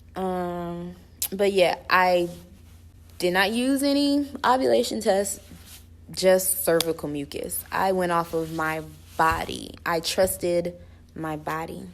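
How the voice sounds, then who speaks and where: At a very slow pace with long, frequent pauses, a woman speaks at a fairly low pitch with lively intonation. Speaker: vlogger. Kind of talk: casual Q&A vlog. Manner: informal, many fillers.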